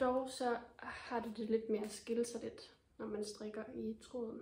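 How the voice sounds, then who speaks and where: A woman speaks at a fairly high pitch with a dark, mellow tone and vocal fry. Her intonation is monotone and flat. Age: 20s. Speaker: knitting podcaster. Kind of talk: casual vlog talk. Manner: hesitant, many fillers.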